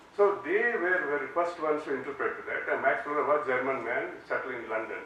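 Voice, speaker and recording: There is audible room echo and noticeable background noise. A man talks at a fairly quick pace. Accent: Indian. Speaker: law professor. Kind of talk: lecture.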